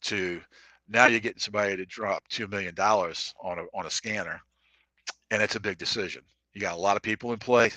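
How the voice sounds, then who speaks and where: A man's fairly low voice, bright and sharp in tone, very fast yet broken by long, frequent pauses, with fairly even intonation and a dry, close sound with no echo. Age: 60s. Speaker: salesman. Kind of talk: casual chat. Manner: halting.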